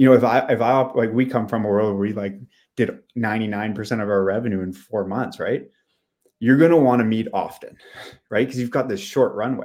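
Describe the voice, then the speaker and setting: A normal speaking voice from a man, medium in pitch, with fairly even intonation at a fairly quick pace. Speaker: business coach and mentor. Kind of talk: casual interview chat.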